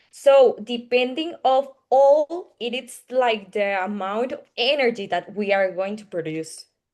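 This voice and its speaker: A woman with a Spanish accent and a fairly high pitch speaks at a fairly slow pace with hardly any pauses. Her intonation is lively, and her loudness swings widely. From Costa Rica. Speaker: engineering student presenter. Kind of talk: Q&A answer. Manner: halting.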